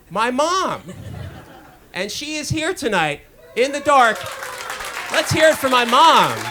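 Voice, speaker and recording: Over crowd noise in the background, a man with an extremely high pitch projects his raised voice at a fairly slow pace with lively intonation. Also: long, frequent pauses. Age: 50s. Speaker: stand-up comedian. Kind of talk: stand-up. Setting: stage with audience.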